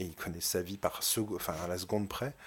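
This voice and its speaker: At a moderate pace, a man speaks in a very deep, low voice with ordinary pitch variation. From provincial France. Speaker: film director. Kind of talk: interview. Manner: halting.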